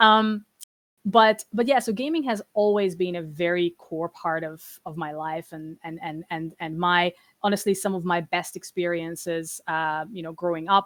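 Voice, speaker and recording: With a Hungarian accent, a woman speaks at a moderate pace with a fairly low pitch, ordinary pitch variation and big swings in loudness, in a dry, close sound with no echo on a very clean recording with a silent background. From Hungary (small town). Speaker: trade commissioner for games and esports. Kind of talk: presentation talk on a stream. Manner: halting, many fillers and repetitions.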